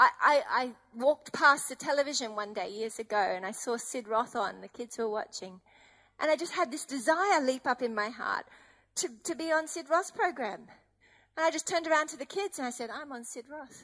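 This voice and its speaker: A raised, projected voice with a bright, sharp tone moves at a fairly quick pace with big swings in loudness. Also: woman, high pitch for a woman, lively intonation. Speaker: preacher. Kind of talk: sermon.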